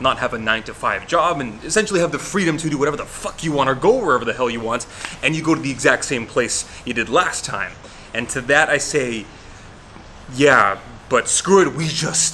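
Light background noise sits under the voice. A man speaks with lively intonation. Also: fairly quick pace. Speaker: fitness vlogger. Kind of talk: casual vlog chat.

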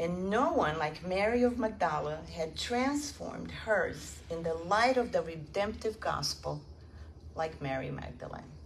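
Fairly slowly, a woman talks while noticeable noise fills the background. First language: not English. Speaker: spiritist lecturer. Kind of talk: lecture. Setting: stage with audience.

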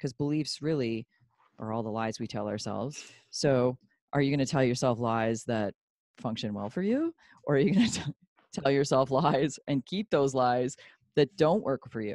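A woman's very deep, low voice carries a dark, mellow tone and ordinary pitch variation, recorded dry with no echo against a quiet background. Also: moderate pace. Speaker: podcast guest. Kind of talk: interview answer. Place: home room. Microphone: handheld.

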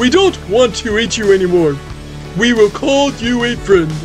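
Over clear music in the background, a man puts on a character voice with a high pitch. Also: moderate pace. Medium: audio drama. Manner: commanding, shouting.

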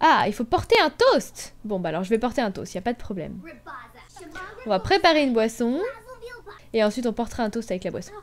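A woman talks at a fairly quick pace with a fairly high pitch, very wide pitch swings and long, frequent pauses over light background noise. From Brittany, France. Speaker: gaming YouTuber. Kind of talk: let's play commentary. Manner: animated.

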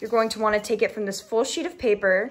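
With light background noise, a woman speaks with ordinary pitch variation. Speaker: craft demonstrator. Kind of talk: tutorial. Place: home room. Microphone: phone near.

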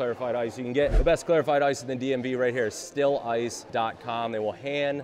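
A man at a very fast pace, with ordinary pitch variation and light background noise. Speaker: drink reviewer host. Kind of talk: casual review commentary. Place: bar.

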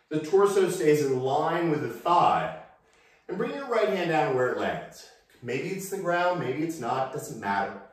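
Fairly slow, lively-intoned speech in strong room echo against a quiet background. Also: man, fairly high pitch for a man. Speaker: yoga instructor. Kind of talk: guided yoga class with calm meditative cueing. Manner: calm, slow, soothing; deliberate, gently instructive. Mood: calm, relaxed guidance. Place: home room. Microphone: camera far.

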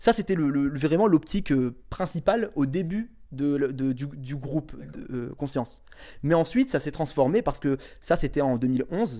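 Against a quiet background, a man with a fairly high voice talks in a dark, mellow tone with ordinary pitch variation. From northern France, Tourcoing; northern France. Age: 20s. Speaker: association founder; interviewee. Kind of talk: interview. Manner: halting. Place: home room. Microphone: handheld.

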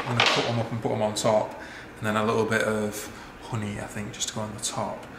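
A man talks at a fairly quick pace. Noticeable background noise sits under his voice. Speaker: vlogger. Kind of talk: casual vlog chat. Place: kitchen.

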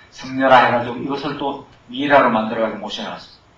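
A man rattles off his words at a very fast pace with fairly even intonation and medium pitch. Audible room echo and light background noise fill the recording. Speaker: missionary; missionary lecturer. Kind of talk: sermon. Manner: impassioned, shouting. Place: church.

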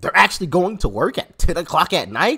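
Over a quiet background, a man speaks in a bright, sharp tone. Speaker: political commentary vlogger. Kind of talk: commentary. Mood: animated, sarcastic. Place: home room.

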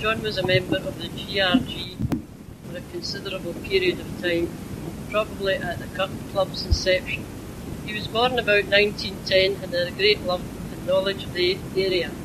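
A woman at medium pitch, with fairly even intonation and a moderate pace, over noticeable background noise. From Glasgow, Scotland. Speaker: reminiscence group member. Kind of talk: reading a prepared memoir aloud. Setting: old magnetic tape recording. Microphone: old recording.

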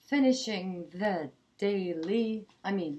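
The tone is dark and mellow. Delivery is very slow, with lively intonation. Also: woman. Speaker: tarot reader. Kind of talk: improvised tarot reading to camera. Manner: hesitant, many filler sounds. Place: home room. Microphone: webcam.

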